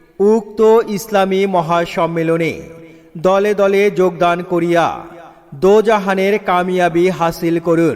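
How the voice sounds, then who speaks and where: A man's high-pitched voice, monotone and flat, at very even loudness over noticeable background noise. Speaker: mosque event announcer / voice-over artist for loudspeaker advertising. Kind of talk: loudspeaker (miking) announcement advertising a religious gathering. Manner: loud, projected, declamatory announcement delivery.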